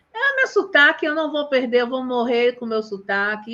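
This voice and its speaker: A woman speaks at a moderate pace. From Bahia, Brazil. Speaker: teacher and live host. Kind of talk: casual live chat. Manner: animated.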